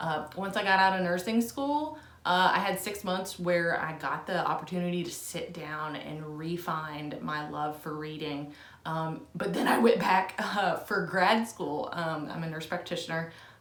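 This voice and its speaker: Against noticeable background noise, a woman with an American accent speaks at a fairly slow pace with ordinary pitch variation. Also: fairly low pitch for a woman. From Southern Indiana, US. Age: 30s. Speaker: book reviewer. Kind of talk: casual talk to camera.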